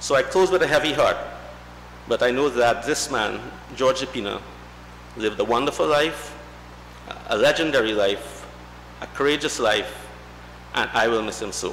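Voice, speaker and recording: A man at a moderate pace with long, frequent pauses, amid light background noise and audible room echo. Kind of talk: eulogy tribute reading. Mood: somber, heartfelt. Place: church. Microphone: podium.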